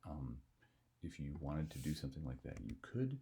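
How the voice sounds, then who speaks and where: A quiet, somewhat breathy man speaks at a very deep, low pitch with a dark, mellow tone. His pitch swings very widely, and his pace is moderate. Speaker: software tutorial teacher. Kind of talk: tutorial. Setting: at home. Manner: speaking quietly.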